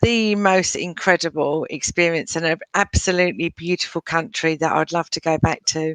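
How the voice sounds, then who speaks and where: A woman with a fairly low pitch speaks at a moderate pace and fairly even intonation, the sound dry and close with no echo. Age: 60s. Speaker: breast cancer survivor and charity cyclist. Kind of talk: interview answer. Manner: hesitant, many filler words.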